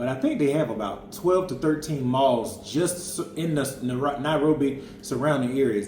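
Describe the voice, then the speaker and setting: This man's voice sits fairly high and carries an American accent with lively intonation. Noticeable background noise and audible room echo fill the recording. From Florida, US. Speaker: family travel vlogger. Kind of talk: casual chat.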